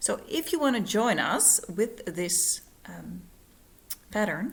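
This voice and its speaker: This woman talks at a very slow pace with a non-native accent. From Netherlands. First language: Dutch. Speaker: cross-stitch vlogger; cross stitch hobby vlogger. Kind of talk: casual vlog; casual vlog chat. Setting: at home, living room. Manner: halting, many fillers. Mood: friendly, cheerful. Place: home room. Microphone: phone near.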